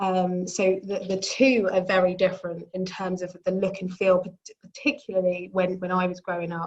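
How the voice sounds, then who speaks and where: Speaking at a moderate pace, a woman talks in a London accent. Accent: British (London). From London, England. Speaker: business executive and speaker. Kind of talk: panel talk. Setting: video call. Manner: halting, many fillers.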